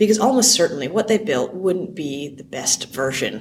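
Woman with a Canadian accent, very wide pitch swings and a moderate pace, amid audible room echo and noticeable background noise. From Canada. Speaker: software founder and CEO. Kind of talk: conference interview. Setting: conference venue.

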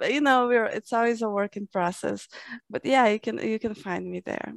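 A fairly high-pitched woman with a Portuguese accent, fairly even intonation and a moderate pace, in a dry, close sound with no echo. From Brazil. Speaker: fantasy and sci-fi author. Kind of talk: interview. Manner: halting.

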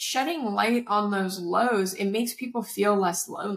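In an unremarkable speaking voice, a woman talks at a moderate pace with a fairly high pitch and ordinary pitch variation. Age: 30s. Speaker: startup founder and content creator. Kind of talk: casual interview chat. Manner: casual, filler-heavy.

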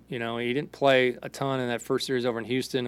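At a fairly quick pace, a man with a plain, everyday voice and medium pitch talks with fairly even intonation. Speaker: baseball coach, post-game analyst. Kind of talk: post-game comments. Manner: casual, filler-heavy.

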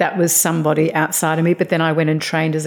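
Talking at a very fast pace, a woman has an Australian accent. Her pitch is very deep and low. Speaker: author and life coach. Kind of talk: interview.

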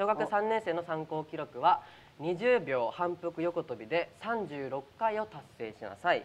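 Loudness swings widely as a man speaks at a fairly slow pace and high pitch, with very wide pitch swings. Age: 20s. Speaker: actor and show host. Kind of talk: casual chat on live stream. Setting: live stream from studio. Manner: animated.

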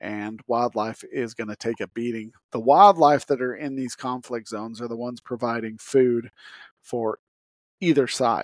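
A man with an American accent and an ordinary speaking voice talks at a medium pitch and moderate pace with ordinary pitch variation, on a very clean, dry, close recording with a silent background and no echo. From Utah. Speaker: podcast host. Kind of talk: solo podcast monologue. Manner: casual.

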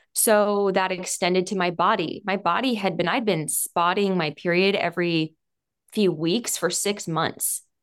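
A woman with an unremarkable speaking voice, medium in pitch, speaks at a fairly slow pace with fairly even intonation on a very clean recording with a silent background. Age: 30s. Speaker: business leader and author. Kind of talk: interview.

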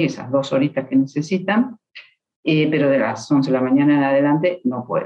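At a moderate pace, a woman speaks with very wide swings in pitch. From Argentina. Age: 50s. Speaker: marketing professional. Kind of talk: interview storytelling. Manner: animated.

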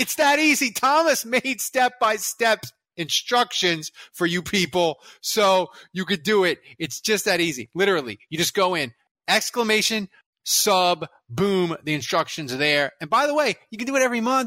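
A man projects a raised voice at a high pitch, bright and sharp in tone, with very wide pitch swings. His pace is moderate, and the recording is very clean with a silent background. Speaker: sports podcast host. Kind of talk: casual chat; sales pitch. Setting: studio. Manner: loud.

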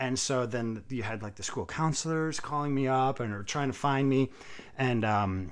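An unremarkable speaking voice with an American accent, at a moderate pace and with ordinary pitch variation. The recording is very clean, with a silent background. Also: man. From New England (Massachusetts, Vermont, New Hampshire). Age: 40s. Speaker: chiropractor and CrossFit coach. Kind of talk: interview.

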